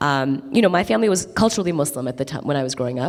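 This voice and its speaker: With noticeable background noise behind her, a woman talks in a very deep, low pitch with an American accent. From Qatar, then Chicago suburbs from age 15. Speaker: interfaith organization leader. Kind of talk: keynote conversation on stage. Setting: stage with audience.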